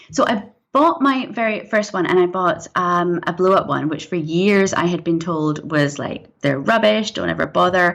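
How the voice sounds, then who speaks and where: A woman talks at a moderate pace with hardly any pauses. Her fairly low voice has lively intonation. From Scotland, Glasgow, also raised in US and England. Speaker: screenwriter and director. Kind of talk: interview conversation. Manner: animated.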